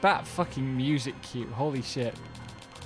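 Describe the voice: The intonation holds fairly even. It is plain reading aloud.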